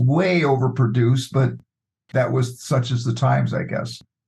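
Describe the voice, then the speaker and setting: A somewhat breathy man's voice at a moderate pace. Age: 70s. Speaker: podcast guest. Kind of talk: casual chat.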